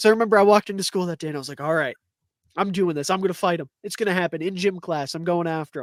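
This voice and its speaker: Loud and animated, the voice races along at a very fast pace with ordinary pitch variation. The recording is very clean, with a silent background and a dry, close sound with no echo. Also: man, high pitch for a man. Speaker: podcast co-host. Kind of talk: casual chat.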